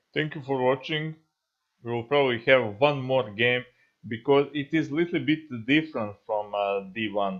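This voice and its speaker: A man with a non-native accent at a fairly slow pace, medium in pitch, with lively intonation. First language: not English. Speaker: gaming YouTuber. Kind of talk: gameplay tutorial commentary. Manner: halting, many fillers.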